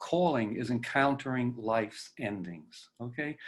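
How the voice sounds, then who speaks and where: Speaking at a very slow pace, a man delivers his words with lively intonation. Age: 80s+. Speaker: presenter speaking on death and dying. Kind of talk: lecture. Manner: halting, many fillers.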